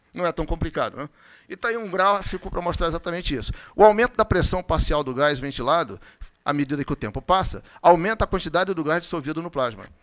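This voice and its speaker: A man talks very fast at a high pitch with lively intonation. The recording is very clean, with a silent background. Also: big swings in loudness, dry, close sound with no echo. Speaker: physician giving a medical talk. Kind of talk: lecture.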